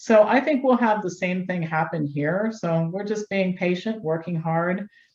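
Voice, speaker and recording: A woman's somewhat breathy, medium-pitched voice with an American accent, at a moderate pace with ordinary pitch variation. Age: 60s. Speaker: health doctor and activist. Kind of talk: interview. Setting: studio.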